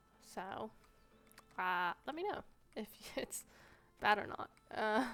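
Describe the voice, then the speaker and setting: Soft-spoken and bright, sharp in tone, a woman with a fairly high pitch talks at a fairly slow pace with lively intonation. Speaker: gaming youtuber. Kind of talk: casual gameplay commentary. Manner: quiet. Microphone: sensitive mic, possible static, may be quiet.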